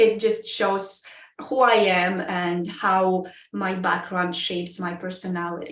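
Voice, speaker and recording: In audible room echo, a woman with a Polish accent speaks at a very slow pace, at a medium pitch with fairly even intonation. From Poland. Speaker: Toastmasters club member. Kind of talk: interview. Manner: halting, many fillers.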